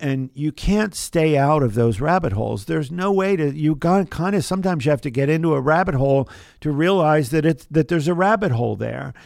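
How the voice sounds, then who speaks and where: In a normal speaking voice with an American accent, a man talks at a fairly quick pace in a fairly high pitch, with ordinary pitch variation and hardly any pauses. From US, southern New Jersey. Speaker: chemist and biotech entrepreneur. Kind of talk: interview. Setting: studio.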